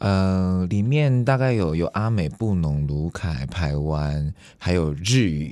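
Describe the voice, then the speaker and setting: A man's very deep, low voice has a dark, mellow tone. He speaks at a very slow pace with very wide pitch swings. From Taiwan. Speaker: YouTuber and musician. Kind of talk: casual interview.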